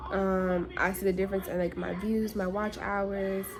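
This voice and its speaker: A woman talks at a moderate pace and medium pitch. Her intonation stays fairly even over noticeable background noise. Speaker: beauty vlogger. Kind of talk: casual vlog chat. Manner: rambling, halting.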